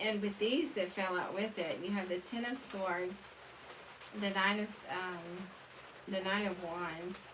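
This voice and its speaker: The speech comes very slowly with fairly even intonation, over noticeable background noise and audible room echo. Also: woman, medium pitch for a woman. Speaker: tarot reader. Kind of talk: tarot reading monologue. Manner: mumbling; halting, many fillers.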